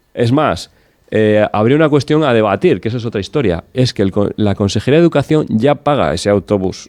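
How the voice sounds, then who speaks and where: Recorded with a dry, close sound and no echo, a man of medium pitch uses an ordinary speaking voice with lively intonation at a fairly quick pace. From Cantabria, rural village. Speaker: regional politician. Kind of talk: political talk show debate.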